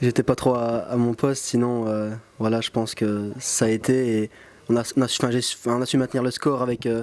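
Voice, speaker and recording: In a flat monotone, a man talks at a medium pitch. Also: fairly quick pace. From Belgium, Luxembourg province (Saint-Hubert). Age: 20s. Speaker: footballer. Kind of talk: post-match interview. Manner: halting, many fillers.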